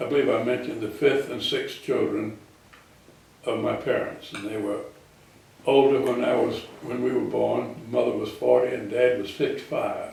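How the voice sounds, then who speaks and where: A man with a South Carolina accent at a moderate pace, with audible room echo and noticeable background noise. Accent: Southern US (South Carolina). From US South, South Carolina (Florence). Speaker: war veteran. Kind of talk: oral history interview.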